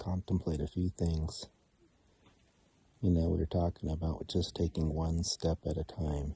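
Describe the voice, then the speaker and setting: The tone is dark, mellow and somewhat breathy. The sound is dry and close, with no echo. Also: man. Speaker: hiker vlogger. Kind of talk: outdoor vlog narration. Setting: outdoors at wilderness campsite.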